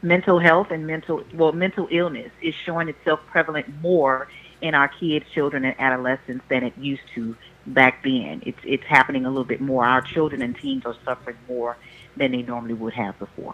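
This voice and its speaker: A woman with a very deep, low pitch talks at a fairly quick pace with ordinary pitch variation. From Louisiana. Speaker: licensed professional counselor. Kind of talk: casual chat. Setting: phone call.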